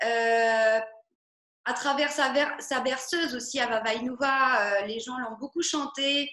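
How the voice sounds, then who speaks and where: Amid audible room echo, a woman with a high pitch and a bright, sharp tone speaks in a raised, projected voice at a very slow pace with fairly even intonation. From Algeria, Oran. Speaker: singer-songwriter. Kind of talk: interview. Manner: halting, many fillers.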